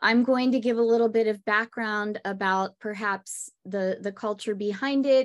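A woman talks with a fairly high pitch and ordinary pitch variation. The background is quiet. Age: 50s. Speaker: podcast host and music teacher. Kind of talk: casual chat.

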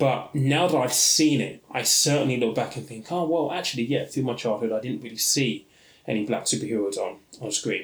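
With a British accent, someone talks at a moderate pace. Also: man. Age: 30s. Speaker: podcast host, personal finance educator. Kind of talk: solo podcast monologue.

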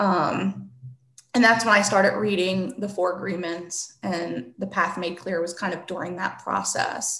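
Using an unremarkable speaking voice, a woman talks at a fairly slow pace and medium pitch with fairly even intonation. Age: 40s. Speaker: therapist. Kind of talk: interview.

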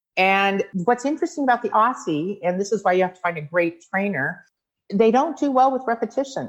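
Fairly high-pitched woman's voice, fairly quick, with very wide pitch swings over a quiet background. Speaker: dog breeder and show judge. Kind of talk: interview. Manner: loud; animated.

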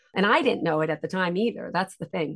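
Recorded with a dry, close sound and no echo, a woman speaks in an unremarkable speaking voice, fairly low in pitch with ordinary pitch variation. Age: 50s. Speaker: educational psychologist and author. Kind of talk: interview about personal trauma.

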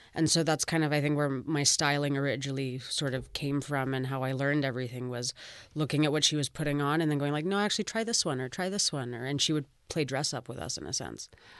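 Over a quiet background, the speaker talks at a very fast pace with a Canadian accent. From Vancouver, Canada. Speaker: fashion designer. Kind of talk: interview.

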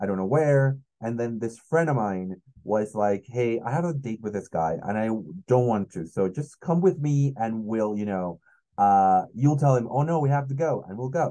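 A man with a Spanish accent speaks at a moderate pace with lively intonation and a dark, mellow tone. The background is quiet. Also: medium pitch for a man. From Mexico City. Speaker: comedian. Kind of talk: casual chat.

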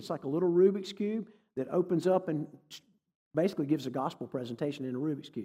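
A dark, mellow tone in a Southern US accent, very fast pace and lively intonation. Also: man. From North Carolina. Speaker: preacher and church consultant. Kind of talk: sermon. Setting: church with congregation. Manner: animated.

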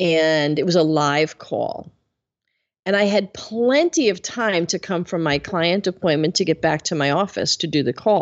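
Fairly low in pitch, a woman with an ordinary speaking voice talks at a fairly slow pace with ordinary pitch variation. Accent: American. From US Northeast, Bronx, New York. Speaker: business leadership coach. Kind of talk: interview.

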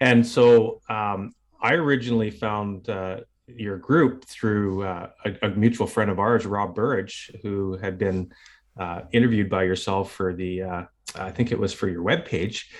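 An unremarkable speaking voice from a man with a Canadian accent, fairly low in pitch with ordinary pitch variation, at a fairly slow pace against a quiet background. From northern British Columbia, Canada. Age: 50s. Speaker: retired police officer and cancer survivor. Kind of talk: interview.

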